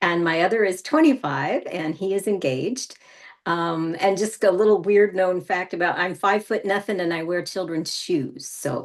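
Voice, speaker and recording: Using a normal speaking voice, this woman talks at a medium pitch and a moderate pace, her pitch varying in an ordinary way. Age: 60s. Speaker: health coach. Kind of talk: casual interview.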